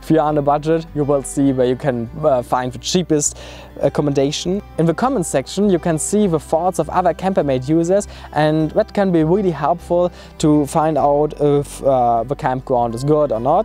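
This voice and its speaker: Faint music sits behind a man speaking at a fairly high pitch and a moderate pace, with ordinary pitch variation and a dry sound with no echo. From Germany. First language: German. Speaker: travel vlogger. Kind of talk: casual tutorial talk. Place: open country.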